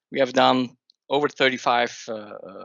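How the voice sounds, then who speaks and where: This is a man at medium pitch. He talks at a fairly slow pace. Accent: Swiss. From Switzerland. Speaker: software company owner and industry expert. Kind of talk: webinar presentation. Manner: halting, many fillers.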